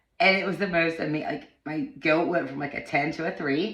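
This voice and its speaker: Amid audible room echo, a woman talks at a moderate pace with a very deep, low pitch and ordinary pitch variation. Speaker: vlogger sharing personal wellness journey. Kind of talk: casual personal vlog monologue. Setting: home bathroom. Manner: halting, many false starts.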